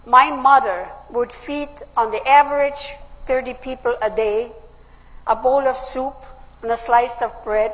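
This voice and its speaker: Noticeable background noise surrounds a woman with a high-pitched voice. She speaks at a fairly slow pace with ordinary pitch variation. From Austria. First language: German. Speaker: political speaker, WWII survivor. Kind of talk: public speech.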